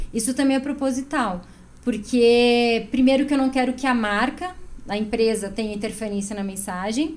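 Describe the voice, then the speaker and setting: Her voice is high in pitch, with ordinary variation and a moderate pace. The woman's room has an audible echo. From Chapecó, western Santa Catarina, Brazil. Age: 30s. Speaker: clothing brand founder and designer. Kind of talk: podcast interview.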